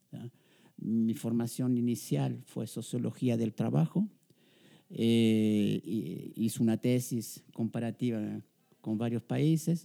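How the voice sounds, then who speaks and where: The recording is dry and close, with no echo, as a man speaks at a very slow pace. His medium-pitched voice has a dark, mellow tone and lively intonation. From Chile. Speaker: sociologist and professor. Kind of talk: interview. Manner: halting.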